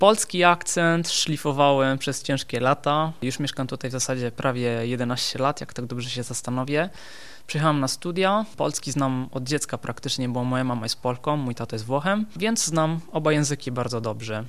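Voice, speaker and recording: Speaking with an Italian accent, a man keeps a moderate pace with hardly any pauses. His pitch is medium, with ordinary variation. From southern Italy, Benevento near Naples. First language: Italian (speaking Polish). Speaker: osteopath. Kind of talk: radio interview.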